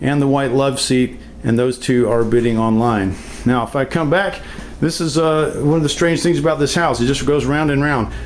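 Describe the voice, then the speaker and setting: A man speaks at a fairly high pitch, with audible room echo and noticeable background noise. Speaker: estate sale company owner. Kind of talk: video walkthrough tour. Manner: fast.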